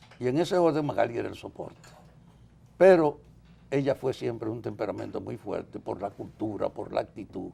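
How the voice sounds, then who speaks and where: A man's dark, mellow voice with vocal fry and lively intonation, at a moderate pace. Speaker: political activist. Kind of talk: interview.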